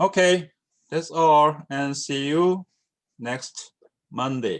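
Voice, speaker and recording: A man talks very slowly with a Korean accent, his pitch fairly high. His pitch variation is ordinary, and the background is quiet. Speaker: university lecturer. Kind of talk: lecture. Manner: halting, many fillers.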